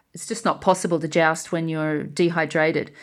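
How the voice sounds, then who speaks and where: A woman speaks at a moderate pace with an Australian accent on a very clean recording with a silent background. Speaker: jouster and school teacher. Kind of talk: interview.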